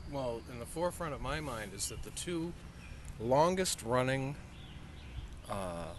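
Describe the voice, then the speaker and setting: In a room with audible echo, a man speaks fairly slowly at a medium pitch, with very wide pitch swings and long, frequent pauses. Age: 60s. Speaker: taxi driver. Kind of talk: casual chat.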